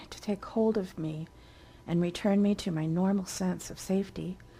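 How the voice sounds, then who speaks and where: A woman's dark, mellow tone at medium pitch, with fairly even intonation. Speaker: author and narrator. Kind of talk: dramatic first-person ghost story narration.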